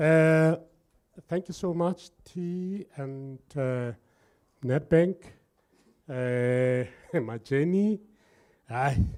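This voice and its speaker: A man with a Lesotho accent speaks very slowly in a fairly high voice with a dark, mellow tone, ordinary pitch variation and long, frequent pauses. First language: Sesotho. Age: 60s. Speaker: entrepreneur. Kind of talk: workshop talk. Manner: energetic.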